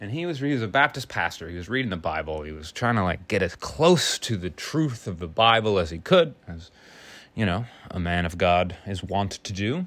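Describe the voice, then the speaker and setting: In a very clean recording with a silent background, a man speaks at a fairly low pitch and moderate pace. His intonation is lively, with big swings in loudness. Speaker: podcast host. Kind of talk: solo monologue. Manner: casual, rambling stream of consciousness.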